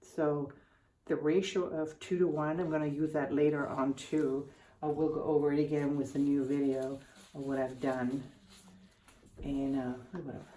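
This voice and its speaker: A quiet, mumbling woman with a very deep, low pitch and a dark, mellow tone, monotone and flat at a moderate pace, with long, frequent pauses and audible room echo. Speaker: art tutorial youtuber. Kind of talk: casual tutorial commentary.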